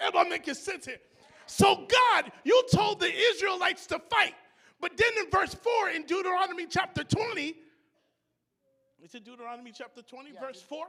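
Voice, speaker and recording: A man with an extremely high pitch and a bright, sharp tone talks at a fairly quick pace in a raised, projected voice, with lively intonation, big swings in loudness and long, frequent pauses. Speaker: preacher. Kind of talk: church sermon.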